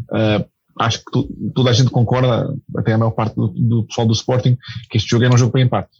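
The recording of this somewhat breathy man has a dry, close sound with no echo. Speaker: football commentator. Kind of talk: casual chat. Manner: hesitant.

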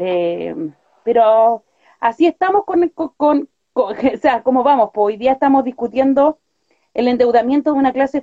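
In a Chilean accent, a woman with a high pitch and a dark, mellow tone speaks with lively intonation, the sound dry and close with no echo. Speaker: activist. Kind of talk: casual chat.

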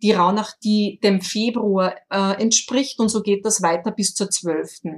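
Speaking very slowly with an Austrian accent, a woman keeps a medium pitch and a fairly even intonation. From rural Austria. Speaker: online shop owner, incense expert. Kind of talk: interview. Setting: remote call. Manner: halting, many fillers.

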